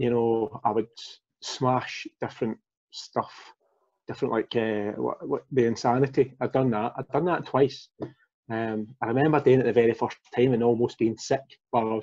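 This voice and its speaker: With a Glaswegian accent, a man speaks in a dark, mellow tone and fairly even intonation over a quiet background. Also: moderate pace. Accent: Glaswegian Scottish. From Glasgow, Scotland. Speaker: former fitness coaching client, father; former fitness coaching client. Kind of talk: casual interview. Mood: relaxed, candid. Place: home room. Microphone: video call.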